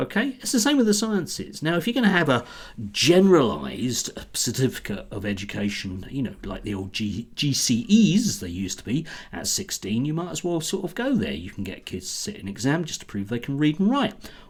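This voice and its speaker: A man's fairly high, fry-tinged voice with very wide pitch swings at a fairly quick pace. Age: 60s. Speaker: education commentator. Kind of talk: casual monologue. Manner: animated.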